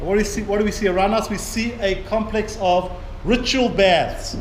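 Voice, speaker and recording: Here a man speaks at a high pitch. Audible room echo and noticeable background noise surround him. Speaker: tour guide. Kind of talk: guided tour talk. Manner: fast.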